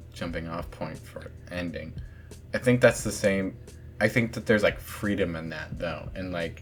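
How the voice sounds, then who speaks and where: Music plays in the background. The speech has ordinary pitch variation and a moderate pace. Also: man. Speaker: channel host, casual chat about writing. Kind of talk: casual chat. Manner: hesitant, many fillers.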